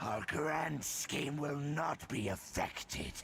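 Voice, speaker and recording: A man's put-on character voice, growling and menacing, fairly high in pitch, at a very slow pace over clear background noise. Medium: video game. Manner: menacing, grandiose.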